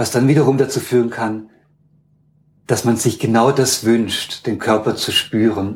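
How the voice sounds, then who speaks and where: With long, frequent pauses, a man speaks in a somewhat breathy voice with monotone, flat intonation. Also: medium pitch for a man, fairly slow pace. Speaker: university ethnologist. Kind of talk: interview. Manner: hesitant, many filler sounds.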